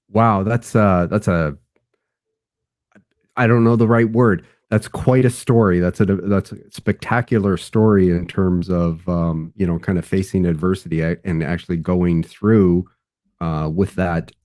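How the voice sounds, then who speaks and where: With a Canadian accent, a man with a very deep, low pitch speaks at a fairly slow pace with ordinary pitch variation. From western Canada. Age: 60s. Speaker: engineer and author. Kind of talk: interview podcast.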